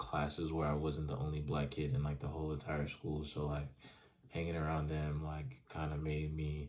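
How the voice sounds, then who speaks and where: A man speaks at a very deep, low pitch and a moderate pace. Audible room echo surrounds his voice. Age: 20s. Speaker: student. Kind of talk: reading questions and answering them, casual monologue. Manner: casual, many fillers.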